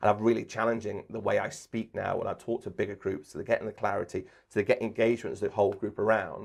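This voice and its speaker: A man talks very fast in an English accent. The background is quiet. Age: 40s. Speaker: sports commentator and trainer. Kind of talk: interview. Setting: podcast recording. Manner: animated.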